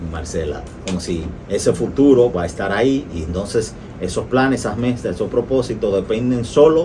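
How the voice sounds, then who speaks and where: Against noticeable background noise and audible room echo, a man with a fairly low pitch talks at a moderate pace with lively intonation. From Latin America. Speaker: doctor and radio host. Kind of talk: radio interview. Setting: radio studio, live broadcast.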